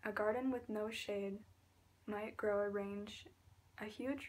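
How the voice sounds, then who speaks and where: Soft-spoken, a woman talks at a very slow pace. Her pitch sits at a medium level. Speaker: ASMR artist. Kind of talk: ASMR reading aloud.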